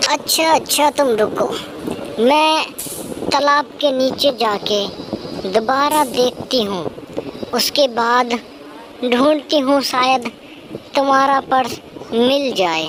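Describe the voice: A female-sounding, cartoonish character voice speaks very slowly at a high pitch, with long, frequent pauses. Clear background noise is present.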